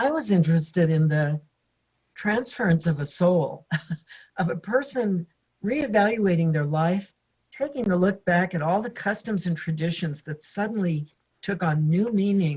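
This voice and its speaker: With a fairly low pitch and a somewhat breathy quality, a woman speaks at a moderate pace. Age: 70s. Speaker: author. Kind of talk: interview.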